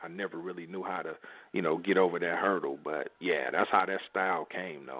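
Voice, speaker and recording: Speaking at a fairly quick pace, a man talks in a very deep, low voice. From US Midwest, Kansas City, Missouri. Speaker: rapper. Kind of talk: interview. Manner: casual.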